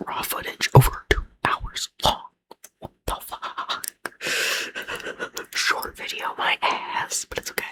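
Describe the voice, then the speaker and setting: Someone whispers. The pace is very slow. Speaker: ASMR content creator. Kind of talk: whispered ASMR ramble to camera. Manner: whispered, soft.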